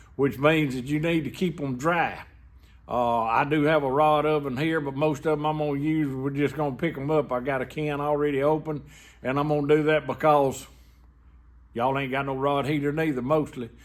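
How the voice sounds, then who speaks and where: With a Southern US accent, a man talks at a moderate pace in a fairly high pitch. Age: 60s. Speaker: welder. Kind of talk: tutorial. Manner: casual, folksy.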